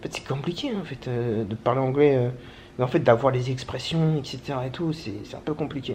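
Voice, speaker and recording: Talking very fast, a man uses a medium pitch with ordinary pitch variation. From France. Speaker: travel vlogger. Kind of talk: casual vlog monologue. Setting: at home, handheld camera. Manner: casual slangy.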